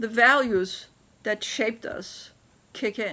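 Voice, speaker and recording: Here a woman with a non-native accent speaks in a bright, sharp tone with ordinary pitch variation. The recording is very clean with a silent background. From Turkey. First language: not English. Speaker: business leader. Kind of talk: interview storytelling.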